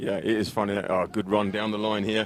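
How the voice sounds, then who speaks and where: The speech moves at a fairly quick pace with an English accent. Noticeable background noise sits behind it. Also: man. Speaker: football commentator. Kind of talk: live commentary with interview. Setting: live stream at a football pitch.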